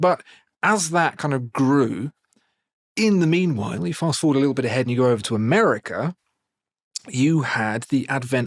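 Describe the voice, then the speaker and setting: At a moderate pace, a man with a British accent, a medium pitch and lively intonation speaks in a dry, close sound with no echo. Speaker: watch video presenter and voiceover artist. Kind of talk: interview answer, spontaneous storytelling.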